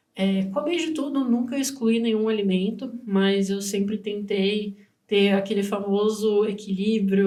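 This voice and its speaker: A woman's somewhat breathy, dark and mellow voice at medium pitch with ordinary pitch variation, fairly slow in pace, with audible room echo. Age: 20s. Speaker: nutrition student and podcast co-host. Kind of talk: casual podcast conversation.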